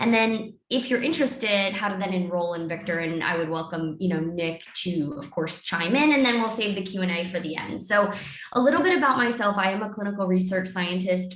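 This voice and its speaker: A woman talks in a room with audible echo and noticeable background noise. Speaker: clinical research scientist and dietitian. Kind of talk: webinar presentation. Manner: fast.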